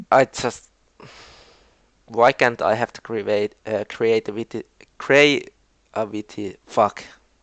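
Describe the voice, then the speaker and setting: Over a quiet background, a man with a Finnish accent speaks very slowly with fairly even intonation and long, frequent pauses. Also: medium pitch for a man, dry, close sound with no echo. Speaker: video game league commentator. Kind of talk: casual commentary recap. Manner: halting.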